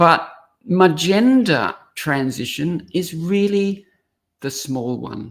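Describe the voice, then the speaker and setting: With an Australian accent, a woman speaks at a very slow pace while her pitch swings very widely. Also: fairly low pitch for a woman. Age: 60s. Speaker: speaker and coach. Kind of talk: podcast interview.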